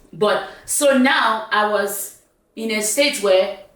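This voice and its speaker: A woman speaks at a medium pitch with ordinary pitch variation. Room echo is audible around her voice. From Nigeria (south: Calabar, Uyo, Enugu). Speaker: talk show host. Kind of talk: casual chat.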